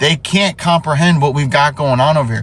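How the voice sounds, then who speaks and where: A man's animated tone rises above noticeable background noise. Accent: American. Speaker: sports commentator. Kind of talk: casual opinion rant.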